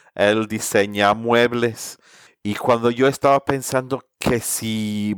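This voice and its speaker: Dry and close with no echo, this very clean recording with a silent background features a man with an English accent at a medium pitch. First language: English (speaking Spanish). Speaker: sustainability consultant. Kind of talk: interview.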